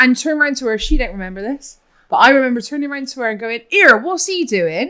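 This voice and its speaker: With a strong Bristolian accent, a woman projects a raised, high, bright and sharp voice at a very fast pace, her pitch swinging very widely and her loudness shifting in big swings. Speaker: podcast co-host. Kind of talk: casual chat. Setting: cookery school of a restaurant, filmed.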